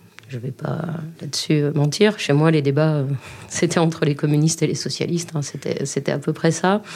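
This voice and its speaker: A woman's very deep, low voice at a moderate pace, fairly even in intonation, over noticeable background noise. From Libourne, Gironde, southwest France. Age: 40s. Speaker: regional councillor and former lecturer. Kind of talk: interview testimony. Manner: halting, with repeated words.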